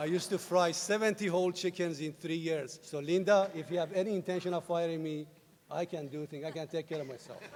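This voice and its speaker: Talking at a very fast pace with a Persian accent, a man with a high pitch keeps his intonation fairly even against noticeable background noise. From Iran. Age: 50s. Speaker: university president. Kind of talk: commencement speech.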